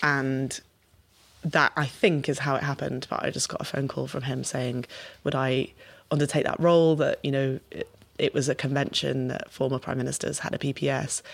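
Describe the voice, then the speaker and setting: Speaking in a Liverpool accent, a woman uses a very deep, low pitch, a moderate pace and flat, monotone intonation. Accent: Liverpool (Scouse). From Merseyside, England. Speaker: politician. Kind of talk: interview.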